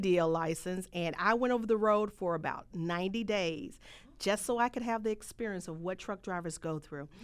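With a bright, sharp tone, the speaker keeps a moderate pace, ordinary pitch variation and big swings in loudness. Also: woman. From US South, rural Mississippi. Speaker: trucking business owner. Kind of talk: interview.

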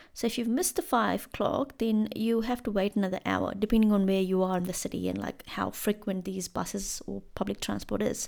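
A woman with an Indian accent at a fairly quick pace, with hardly any pauses. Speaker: podcast host. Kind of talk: solo podcast monologue. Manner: casual, conversational with fillers.

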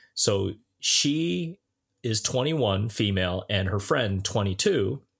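In a very clean recording with a silent background, a man speaks with a Southern Ontario accent at a fairly low pitch. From Southern Ontario, Canada (Brampton). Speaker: podcast co-host. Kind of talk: casual chat. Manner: stammering repetitions.

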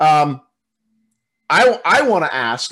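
A man speaks in a plain, everyday voice at a fairly high pitch. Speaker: political candidate, co-host. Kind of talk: casual political commentary chat.

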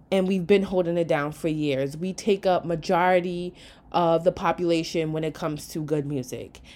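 A woman speaks at a fairly low pitch. Her tone is dark and mellow. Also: fairly even intonation, moderate pace. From New York. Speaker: podcast host. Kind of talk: solo podcast monologue.

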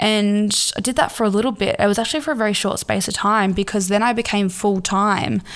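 A woman speaks at medium pitch with an Australian accent, talking very fast with hardly any pauses and a fairly even intonation. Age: 20s. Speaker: podcast host. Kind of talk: casual monologue. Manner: halting.

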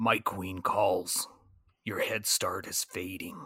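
A man puts on a raspy character voice, speaking very slowly at a fairly low pitch. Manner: calm, measured.

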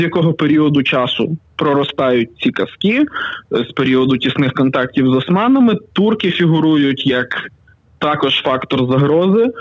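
The voice has lively intonation over noticeable background noise. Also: man. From western Ukraine, Pokuttia. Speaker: writer and youtuber. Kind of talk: storytelling; casual interview. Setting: phone call.

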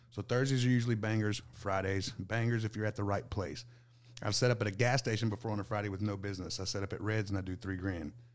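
Intonation stays fairly even while the speech runs at a very fast pace. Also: man, fairly low pitch for a man. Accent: American. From Southeast Texas. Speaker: food truck owner. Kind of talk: casual chat.

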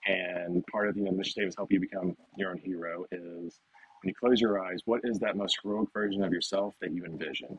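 With an American accent, a man speaks at a moderate pace in an ordinary speaking voice, fairly low in pitch. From US South, Nashville, Tennessee. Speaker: fitness coach. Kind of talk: interview.

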